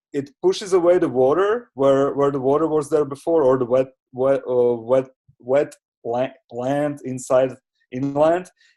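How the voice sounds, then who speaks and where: A man's fairly high voice in a dark, mellow tone, at a fairly slow pace with ordinary pitch variation, against a quiet background. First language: not English. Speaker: community participant presenting session takeaways. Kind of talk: online seminar discussion. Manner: halting, many fillers and repetitions.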